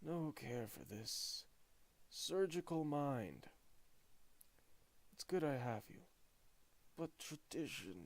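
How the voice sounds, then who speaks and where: A man's put-on character voice, fairly high, raspy and growling, at a very slow pace with long, frequent pauses. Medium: read story. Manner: halting, fragmentary, slow.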